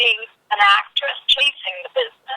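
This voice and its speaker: A woman speaks with a Boston accent. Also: dry, close sound with no echo. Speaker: casting director. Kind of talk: interview.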